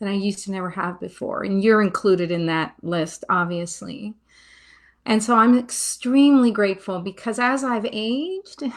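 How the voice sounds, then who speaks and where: An unremarkable speaking voice comes from a woman at a moderate pace, with medium pitch and ordinary pitch variation. The recording is very clean with a silent background. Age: 60s. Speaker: retired financial expert. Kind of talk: interview.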